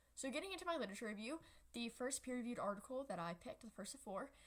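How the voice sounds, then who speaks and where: With lively intonation, the woman speaks in a somewhat breathy voice. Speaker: student presenter. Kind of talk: class presentation. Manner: halting, frequent fillers.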